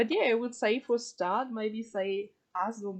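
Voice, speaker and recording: A woman speaks with a German accent at a medium pitch. Her intonation is fairly even. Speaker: streamer and interviewer. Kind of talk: live stream interview. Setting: live stream voice chat. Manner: halting.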